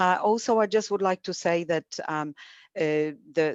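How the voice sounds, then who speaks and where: A woman with a Polish accent speaks at a moderate pace in a fairly low voice, her pitch varying in an ordinary way against a quiet background. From Poland. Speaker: academic coordinator and webinar moderator. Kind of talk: webinar introduction. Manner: halting, many fillers.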